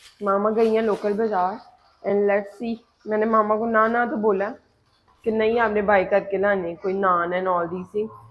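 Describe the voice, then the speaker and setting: Her intonation stays monotone and flat. The woman's voice sits at a medium pitch. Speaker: vlogger. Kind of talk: casual vlog talk to camera.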